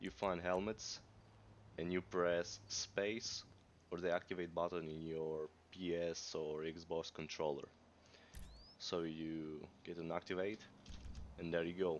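With a non-native accent, a man speaks in a very deep, low pitch and a flat monotone. He moves at a fairly slow pace with long, frequent pauses. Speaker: gamer. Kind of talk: casual gameplay tutorial.

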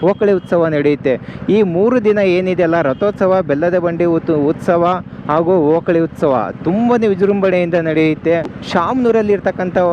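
A man pitched high, with ordinary pitch variation, speaks against noticeable background noise. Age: 20s. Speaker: travel vlogger. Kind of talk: travel vlog narration. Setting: on the move, riding a bike.

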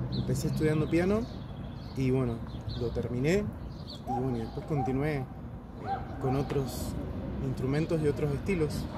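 A man speaks at a moderate pace, leaving long, frequent pauses. The sound is dry with no echo, but loud background noise is present. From Valle de Uco, Mendoza, Argentina. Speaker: percussionist. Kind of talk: casual interview. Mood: warm, reflective. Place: street. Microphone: phone near.

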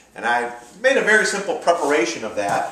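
A man at a moderate pace with audible room echo. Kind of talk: cooking tutorial. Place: kitchen. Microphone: camera far.

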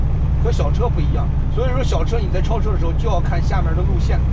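A man talks at a fairly quick pace over loud background noise. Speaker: truck driver vlogger. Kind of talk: tutorial. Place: car. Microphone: camera far.

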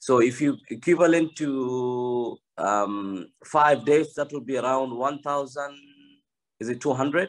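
A man speaks at a very slow pace with a medium pitch. The background is quiet. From Kenya. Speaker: study abroad agent. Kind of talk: presentation. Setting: video call. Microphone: video call.

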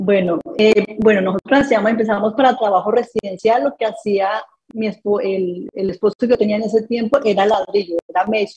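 A woman speaks at a moderate pace with hardly any pauses and ordinary pitch variation. Her pitch is fairly high, and the background is quiet. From Colombia, Tolima and Bogotá; Colombia. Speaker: construction entrepreneur, accident survivor; interview guest. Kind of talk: interview testimony. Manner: halting, many repeated words. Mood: emotional personal story. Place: home room. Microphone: video call.

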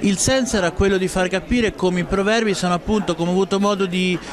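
A man speaks in a high pitch. The sound is dry with no echo, and there is light background noise. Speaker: speaker. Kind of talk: interview answer. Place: hall. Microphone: handheld.

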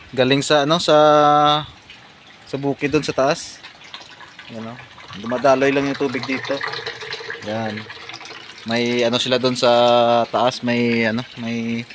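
A man speaks at a medium pitch with fairly even intonation and long, frequent pauses. Noticeable background noise can be heard. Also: fairly slow pace. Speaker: rural vlogger. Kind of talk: casual vlog narration. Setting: outdoors on a farm. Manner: halting, many fillers.

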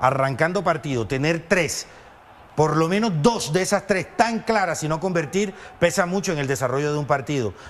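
Using an ordinary speaking voice, a man talks at a moderate pace in a fairly high pitch. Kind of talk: sports commentary. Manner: conversational, questioning co-commentator tone, seeking agreement.

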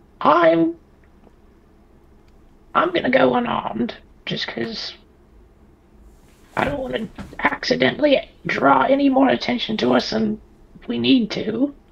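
Pitch swinging very widely, a man with a high voice speaks at a fairly slow pace, with long, frequent pauses. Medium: actual play. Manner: resigned, dry, matter-of-fact.

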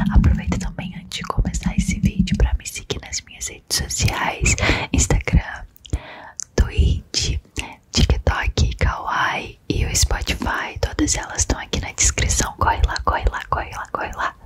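The voice is whispering. The pace is fairly slow. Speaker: ASMR content creator. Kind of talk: casual vlog chat. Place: home room. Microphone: studio mic.

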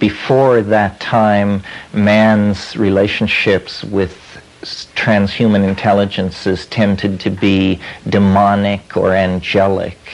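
A man speaks at a very slow pace with a fairly low pitch. His intonation is monotone and flat. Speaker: lecturer. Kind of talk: lecture. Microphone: old recording.

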